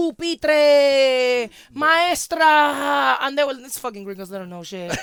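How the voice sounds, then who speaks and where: A woman speaks very slowly with a Spanish accent and a high pitch. Her pitch swings very widely, and her loudness rises and falls a lot. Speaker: podcast host. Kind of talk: casual chat.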